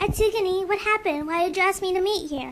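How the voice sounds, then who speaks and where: A squeaky, put-on character voice from a woman, extremely high in pitch and very fast. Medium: machinima.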